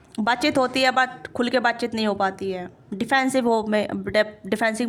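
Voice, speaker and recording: A woman speaks at a fairly high pitch with fairly even intonation. Noticeable background noise is present. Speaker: tarot reader. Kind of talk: tarot reading.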